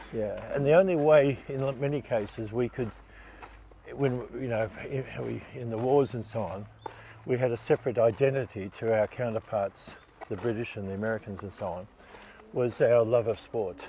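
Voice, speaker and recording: A man with an Australian accent speaks at a moderate pace. His pitch sits in the middle range and varies in an ordinary way. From Australia, Melbourne. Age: 70s. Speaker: Olympic sailor. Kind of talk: interview.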